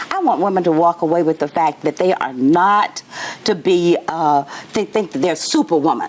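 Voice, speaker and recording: Over noticeable background noise, a woman with a fairly low pitch sounds animated, speaking at a moderate pace with ordinary pitch variation. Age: 70s. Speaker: motivational speaker. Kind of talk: interview.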